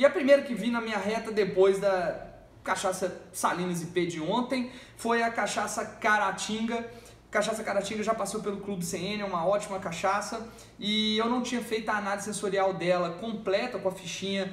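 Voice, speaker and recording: The speaker keeps a moderate pace with fairly even intonation. Audible room echo surrounds the voice. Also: man, high pitch for a man. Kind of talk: tasting review talk. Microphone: phone near.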